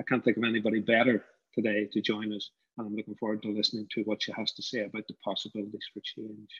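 Speaking at a very fast pace, a man with a fairly low pitch keeps a monotone, flat intonation in a dry, close sound with no echo. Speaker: university professor and creative industries director. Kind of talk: formal welcome speech. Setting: video call roundtable.

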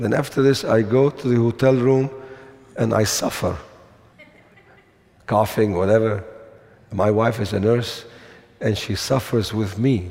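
The tone is dark and mellow, with ordinary pitch variation, a fairly slow pace and long, frequent pauses. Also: man.

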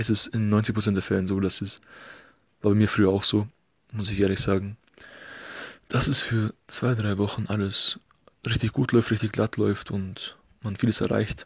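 A man with a fairly low, somewhat breathy voice speaks at a moderate pace with monotone, flat intonation. Long, frequent pauses break up his speech over a quiet background. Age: 20s. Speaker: podcast host, occupational therapy student. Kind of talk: solo podcast monologue. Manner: casual, filler-heavy.

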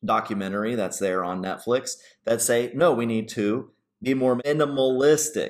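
With lively intonation and a moderate pace, a man with an unremarkable speaking voice is heard in a very clean recording against a silent background. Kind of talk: Bible study discussion.

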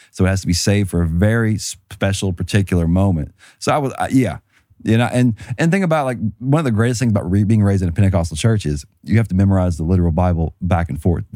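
A man at a fairly low pitch and a very fast pace, on a very clean recording with a silent background. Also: lively intonation. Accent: Southern US. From US South, rural. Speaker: panelist. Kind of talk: casual panel discussion.

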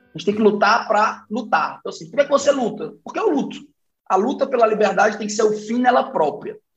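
Over music in the background, a man talks at a very fast pace and a high pitch, with ordinary pitch variation and big swings in loudness. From Brazil, Fortaleza. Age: 30s. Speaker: business partner and think-tank director. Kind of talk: casual chat.

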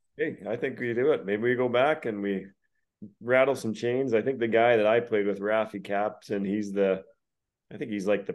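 Here is a man with a normal speaking voice, pitched fairly low. His pitch varies in an ordinary way, and his pace is moderate. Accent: Canadian. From Alberta, Canada. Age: 40s. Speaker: retired pro hockey player. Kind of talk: casual chat. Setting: call.

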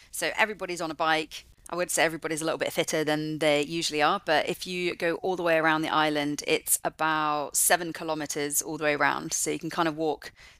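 This woman has a very deep, low pitch and a bright, sharp tone, talking very fast with hardly any pauses in a flat monotone with a West Country accent, on a very clean recording with a silent background. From England, Forest of Dean (Gloucestershire). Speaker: marine conservationist. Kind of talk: interview.

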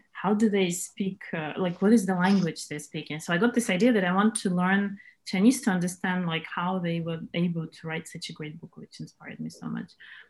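Speaking with a Russian accent at a fairly quick pace, a woman sounds somewhat breathy, with big swings in loudness and hardly any pauses. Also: medium pitch for a woman, ordinary pitch variation. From Moscow, Russia. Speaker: camp organizer, English teacher. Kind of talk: casual interview. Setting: video call.

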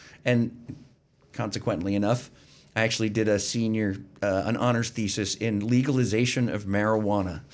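A man with an unremarkable speaking voice and an American accent talks at a moderate pace in a fairly low pitch with fairly even intonation. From Pennsylvania, Berks County. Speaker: retired army veteran. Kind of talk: interview.

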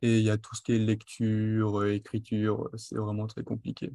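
A fairly low-pitched man in a dark, mellow tone, monotone and flat, with dry, close sound and no echo. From western France (Charente-Maritime, then Marne). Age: 20s. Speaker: cook with dyspraxia. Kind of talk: interview. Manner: articulate.

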